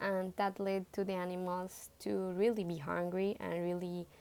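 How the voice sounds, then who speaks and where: A woman with a Spanish accent speaks at a fairly slow pace. Her voice has a fairly low pitch and a dark, mellow tone. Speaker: student presenting a book report. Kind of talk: book report talk. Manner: halting, with many fillers and self-corrections.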